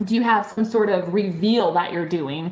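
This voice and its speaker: A medium-pitched woman with audible room echo. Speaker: benefit auctioneer. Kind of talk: conference presentation. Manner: fast.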